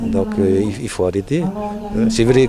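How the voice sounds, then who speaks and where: A man with ordinary pitch variation speaks at a fairly slow pace, and background noise is noticeable. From French Polynesia (Tahiti, Punaauia). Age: 60s. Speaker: municipal official. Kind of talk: interview. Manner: halting, many fillers.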